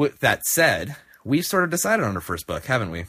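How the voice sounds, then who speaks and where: Mumbling, a man uses a bright, sharp tone with very wide pitch swings on a very clean recording over a silent background. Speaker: podcast host. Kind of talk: casual chat. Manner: mumbly.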